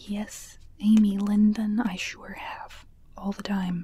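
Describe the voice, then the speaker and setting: Soft-spoken, a woman talks at a medium pitch with monotone, flat intonation. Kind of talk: ASMR book reading with commentary. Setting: home studio microphone.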